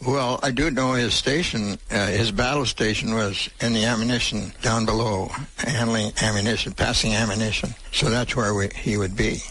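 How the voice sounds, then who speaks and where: There is noticeable background noise as a man speaks at a moderate pace and medium pitch. His intonation is fairly even and his loudness very even. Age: 90s. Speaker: World War Two Navy veteran. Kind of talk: interview answer.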